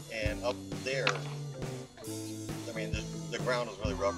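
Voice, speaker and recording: Over loud music in the background, a man speaks at a fairly quick pace. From Buford, Georgia, US. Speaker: skateboarder. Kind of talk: casual interview answer. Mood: relaxed, nostalgic. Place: open country.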